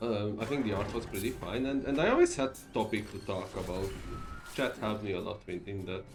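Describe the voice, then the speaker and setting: A man's fairly low voice in a Hungarian accent, at a fairly quick pace with ordinary pitch variation, plus music in the background and audible room echo. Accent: Hungarian accent, described as weird. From Hungary. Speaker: streamer. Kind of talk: casual gameplay stream commentary. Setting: live stream. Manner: halting, frequent repetitions and fillers.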